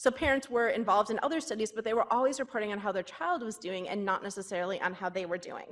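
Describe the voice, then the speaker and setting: Ordinary pitch variation in a woman's voice pitched fairly high. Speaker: pediatric psychologist. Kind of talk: conference talk. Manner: fast.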